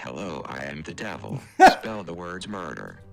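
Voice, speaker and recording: A man puts on a raspy character voice at a very deep, low pitch. He speaks at a moderate pace. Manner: demonic, menacing.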